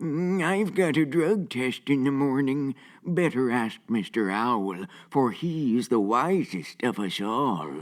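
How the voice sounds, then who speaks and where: A man uses a put-on character voice at medium pitch, talking at a fairly slow pace over a very clean recording with a silent background. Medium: comedy sketch. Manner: casual, wry.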